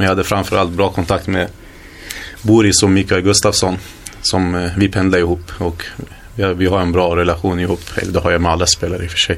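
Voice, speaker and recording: A man with a very deep, low voice talks at a very fast pace in a flat monotone over noticeable background noise. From Sweden, Hallstahammar (Västmanland). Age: 20s. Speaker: footballer. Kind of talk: interview.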